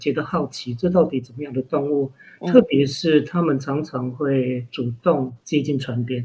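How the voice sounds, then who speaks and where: The voice is somewhat breathy and dark, mellow in tone, moving at a moderate pace with fairly even intonation. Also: man, fairly high pitch for a man. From Taiwan, Hualien. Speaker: marine literature writer and foundation founder. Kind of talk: interview. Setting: remote interview.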